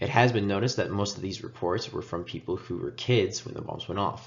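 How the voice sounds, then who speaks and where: Somewhat breathy, a man's fairly low voice carries his words. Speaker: student. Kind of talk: class presentation. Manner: hesitant, many filler sounds.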